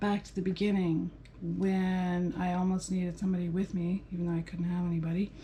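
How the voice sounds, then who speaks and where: A woman with a medium pitch speaks at a moderate pace in a somewhat breathy, dark and mellow voice, her intonation flat and monotone. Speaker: vlogger sharing cancer recovery. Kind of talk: casual vlog monologue. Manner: rambling with many fillers.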